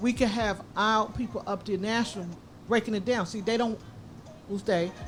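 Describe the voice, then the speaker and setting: A woman speaks at a moderate pace and medium pitch, with a somewhat breathy voice. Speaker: radio show host. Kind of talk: live radio talk. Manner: sometimes halting.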